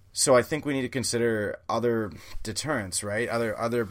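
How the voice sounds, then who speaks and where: An unremarkable speaking voice with a Canadian accent and ordinary pitch variation, on a very clean recording with a silent background. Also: man. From Canada. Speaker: podcast host. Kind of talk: opinion monologue. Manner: casual with frequent fillers.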